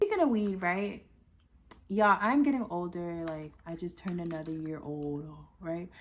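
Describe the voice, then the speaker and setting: A woman's fairly low-pitched voice, bright and sharp in tone, animated. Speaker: vlogger. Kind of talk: casual vlog monologue.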